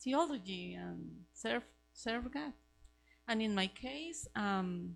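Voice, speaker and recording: A woman speaks in a Costa Rican accent. Her pace is very slow. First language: Spanish. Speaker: missionary. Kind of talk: testimony. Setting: church Sunday school class. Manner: halting, searching for words.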